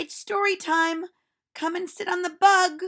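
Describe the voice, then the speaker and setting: A woman uses a put-on character voice at an extremely high pitch, speaking at a moderate pace with monotone, flat intonation. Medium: read story. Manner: cheerful, playful.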